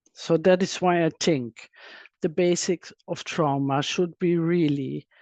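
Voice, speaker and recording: The speaker has a non-native accent and a fairly slow pace. The background is quiet. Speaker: trauma expert and psychotherapist. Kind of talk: webinar presentation. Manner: halting, with fillers and restarts.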